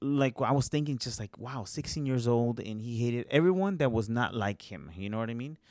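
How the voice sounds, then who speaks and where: Speaking at a fairly quick pace with hardly any pauses, a man with an ordinary speaking voice holds a medium pitch and lively intonation in a very clean recording over a silent background. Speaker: podcast host. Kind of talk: casual podcast conversation.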